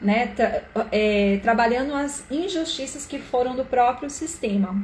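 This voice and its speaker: With a Brazilian accent, a woman speaks at a fairly slow pace in a fairly high pitch with ordinary pitch variation. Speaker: live-stream therapist / systemic coach. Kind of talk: live stream talk. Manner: casual, conversational.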